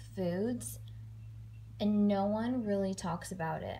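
At a very slow pace, a woman talks. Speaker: food vlogger. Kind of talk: casual vlog chat. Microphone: phone near.

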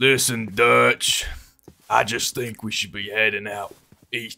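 This man puts on a raspy character voice at a medium pitch. He talks at a fairly slow pace. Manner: gruff.

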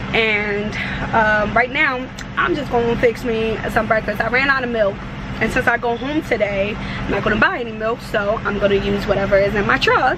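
Over noticeable background noise, a woman speaks at a moderate pace with ordinary pitch variation. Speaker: truck driver vlogger. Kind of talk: casual vlog chat. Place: car. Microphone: phone near.

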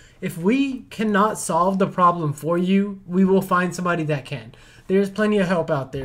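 A man's high voice at a moderate pace with ordinary pitch variation. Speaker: tech YouTuber, PC builder. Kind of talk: tutorial with angry rant. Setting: studio. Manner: animated, ranting, exasperated; gloating, sarcastic. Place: home room. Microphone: camera far.

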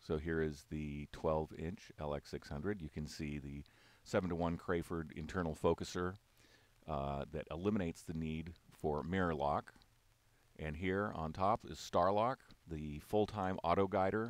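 Fairly slow speech with ordinary pitch variation and a dry sound with no echo. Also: man, very deep, low pitch for a man. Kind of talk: product walk-through commentary. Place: hall. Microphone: phone near.

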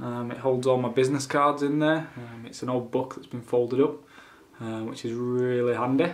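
With a Yorkshire accent, a man speaks at a moderate pace in a monotone, flat intonation. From Yorkshire, England. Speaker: vlogger and small business owner. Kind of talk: casual vlog narration. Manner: casual, with fillers. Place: home room. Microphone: phone near.

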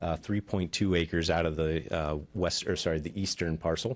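His intonation stays fairly even as the man talks at a moderate pace. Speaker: land planner representing applicant. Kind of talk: formal presentation. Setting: public hearing room. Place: hall.

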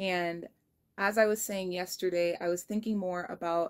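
A woman with fairly even intonation against a quiet background. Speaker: vlogger. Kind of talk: casual vlog chat. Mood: relaxed, occasional laughs. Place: home room. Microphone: phone near.

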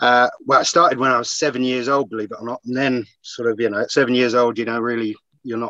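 Very fast and monotone, the voice has a bright, sharp tone, a dry sound with no echo, and a quiet background. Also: man. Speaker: podcast guest. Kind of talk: interview answer. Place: car. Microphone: video call.

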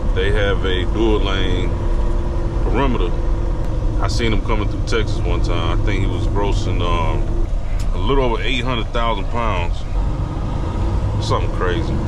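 Long, frequent pauses break up the speech, which moves at a moderate pace. Loud background noise runs throughout. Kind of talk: casual vlog chat. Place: car. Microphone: camera far.

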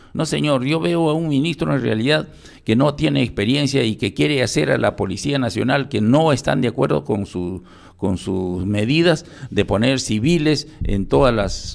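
A man's vocal-fry voice at a fairly slow pace, with very wide pitch swings, against a quiet background. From Peru (provinces). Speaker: retired police general; interview guest. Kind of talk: radio interview. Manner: halting. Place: studio. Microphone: studio mic.

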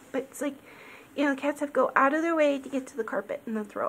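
A soft-spoken woman talks. Light background noise is present. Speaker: orchid grower. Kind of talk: casual talk to camera. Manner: extra soft-spoken. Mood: cheerful, affectionate. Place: home room. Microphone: phone near.

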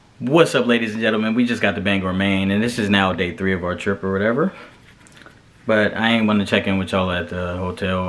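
A man talks at a very fast pace, fairly low in pitch with ordinary pitch variation. There is light background noise. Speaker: flight attendant vlogger. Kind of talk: casual vlog chat. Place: home room. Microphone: phone near.

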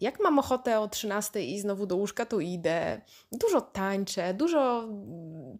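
At a fairly slow pace, the speaker sounds animated, with lively intonation, on a very clean recording with a silent background. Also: woman. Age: 30s. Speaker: podcaster. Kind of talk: casual monologue.

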